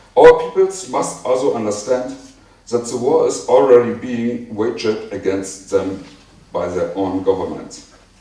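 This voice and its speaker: A man with a German accent is heard with noticeable background noise and audible room echo. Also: fairly slow pace. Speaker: conference speaker on healthcare. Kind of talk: conference speech. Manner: halting.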